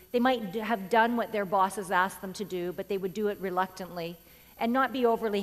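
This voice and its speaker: A woman with a Canadian accent at a very fast pace, medium pitch and ordinary pitch variation. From rural Canada. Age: 40s. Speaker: keynote speaker. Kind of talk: keynote speech. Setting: stage with audience. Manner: animated.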